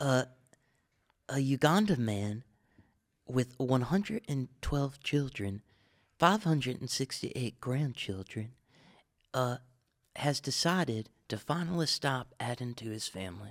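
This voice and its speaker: Pitched at a medium level, a man talks at a fairly slow pace with lively intonation. Long, frequent pauses break up his speech. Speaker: comedy podcast co-host. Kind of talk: casual comedic banter.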